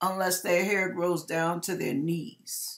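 Against a quiet background, a woman with a medium pitch speaks at a fairly slow pace with ordinary pitch variation. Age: 60s. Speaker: YouTuber giving hair and wig tips; YouTuber giving hair. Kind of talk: casual video tutorial. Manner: animated. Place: kitchen. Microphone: webcam.

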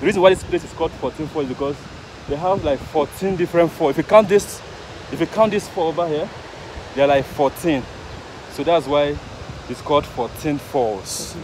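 With long, frequent pauses, the speech moves at a moderate pace with ordinary pitch variation, the sound dry with no echo and the background noise noticeable. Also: man, fairly high pitch for a man. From Nigeria. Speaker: travel vlogger. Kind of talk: vlog narration; haggling. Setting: outdoors. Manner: animated. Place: waterside. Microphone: phone near.

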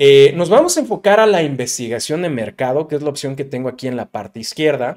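In a Mexican accent, the speaker talks at a very fast pace with hardly any pauses, an animated tone and lively intonation against a quiet background. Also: man, fairly high pitch for a man. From Mexico. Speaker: digital marketing youtuber. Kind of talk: tutorial.

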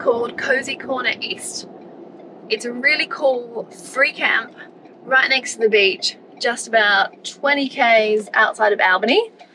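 A woman at a fairly slow pace, ordinary pitch variation, over noticeable background noise. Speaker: travel vlogger. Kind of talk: casual vlog chat. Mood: upbeat, hopeful. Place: car. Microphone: phone near.

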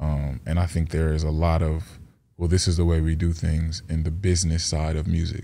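Monotone, flat intonation at a moderate pace, with very even loudness. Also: man, very deep, low pitch for a man. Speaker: rapper. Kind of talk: casual interview. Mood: calm, reflective. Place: studio. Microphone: studio mic.

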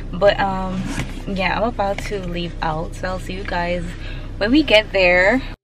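Against faint music in the background, a woman speaks at a fairly slow pace with ordinary pitch variation and big swings in loudness, in a dry sound with no echo. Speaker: vlogger. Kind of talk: casual vlog chat. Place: car. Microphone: phone near.

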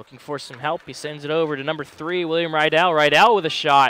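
A man's fairly high-pitched voice with a bright, sharp tone, a moderate pace, and a dry sound with no echo. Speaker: play-by-play announcer; play-by-play commentator. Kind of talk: live commentary. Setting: arena broadcast. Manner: animated. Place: stadium.

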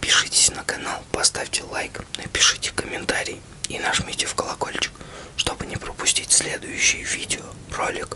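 A man whispers at a fairly slow pace. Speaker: ASMR channel host. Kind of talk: ASMR roleplay address to a loved one. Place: home room.

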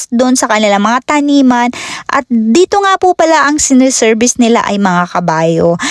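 A woman speaks at a high pitch and a fairly quick pace. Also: dry, close sound with no echo. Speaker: vlogger. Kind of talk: vlog narration. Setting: outdoors.

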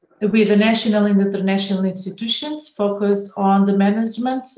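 Audible room echo against a quiet background. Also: woman. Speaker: presenter. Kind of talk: brief organisation description. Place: home room. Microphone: video call.

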